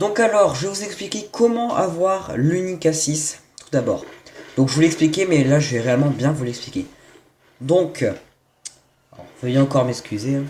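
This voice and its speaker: Fairly high-pitched, a man talks at a fairly slow pace with lively intonation. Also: big swings in loudness. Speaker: gaming youtuber. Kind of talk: gameplay tutorial. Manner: hesitant, stumbling.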